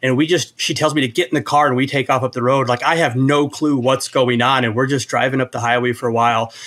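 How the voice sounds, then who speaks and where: Barely pausing, a man of medium pitch talks very fast with fairly even intonation. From Iowa. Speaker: programmer and app developer. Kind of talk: casual chat.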